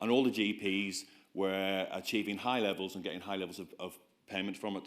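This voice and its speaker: Speaking in a Belfast accent, a man with a fairly low pitch keeps a fairly quick pace. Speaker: GP giving a conference talk. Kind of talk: conference presentation. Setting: stage with audience. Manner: animated.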